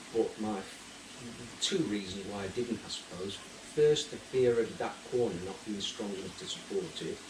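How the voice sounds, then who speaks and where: A man's medium-pitched voice with ordinary pitch variation at a moderate pace, amid noticeable background noise and audible room echo. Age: 60s. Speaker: retired koi keeper. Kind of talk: casual interview. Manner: halting.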